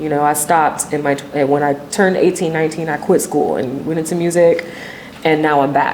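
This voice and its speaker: Against noticeable background noise, a woman with a very deep, low voice speaks at a fairly quick pace with fairly even intonation. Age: 30s. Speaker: singer and songwriter. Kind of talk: interview, personal story. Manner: casual, with many fillers.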